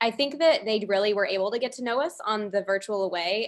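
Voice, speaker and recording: A woman's pitch varies in an ordinary way, and the background stays quiet. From Southern California. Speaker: medical student, student council president; student council president. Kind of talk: webinar panel discussion. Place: home room. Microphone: webcam.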